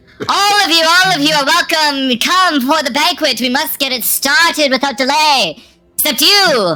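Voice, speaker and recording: A female-sounding voice, high in pitch, performs a put-on character voice. The pace is moderate. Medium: actual play. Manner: very proper, formal.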